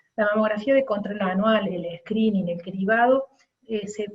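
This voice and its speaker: This speaker has a Córdoba accent. The pace is moderate and the intonation fairly even. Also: woman. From Argentina, Córdoba. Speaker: radiologist. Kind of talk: lecture. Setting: webinar.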